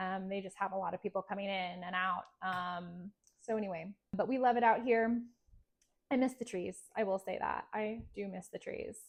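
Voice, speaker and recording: Against a quiet background, a woman with an American accent speaks at a moderate pace in a medium pitch with fairly even intonation. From California. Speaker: realtor. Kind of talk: casual self-introduction to camera. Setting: home kitchen. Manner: conversational, many filler ums.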